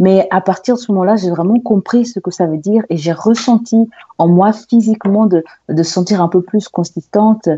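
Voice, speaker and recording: Her tone is dark and mellow, and the woman's pitch is medium with ordinary pitch variation. She speaks at a moderate pace. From Angola, then Lisbon, Portugal. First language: Portuguese (speaking French). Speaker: singer and actress. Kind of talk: interview. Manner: halting, many fillers and repetitions.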